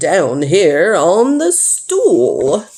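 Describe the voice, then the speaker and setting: With a fairly high pitch, the voice is a put-on character voice. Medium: read story. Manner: excitable, eager.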